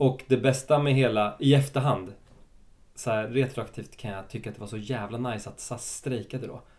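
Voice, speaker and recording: Loudness swings widely as a man with an unremarkable speaking voice talks at a moderate pace, medium pitch and fairly even intonation. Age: 30s. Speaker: actor. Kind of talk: casual chat.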